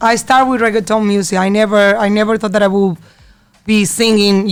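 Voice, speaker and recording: Medium-pitched female speech in a Spanish accent. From Colombia. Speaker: singer. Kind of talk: interview. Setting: studio. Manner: halting.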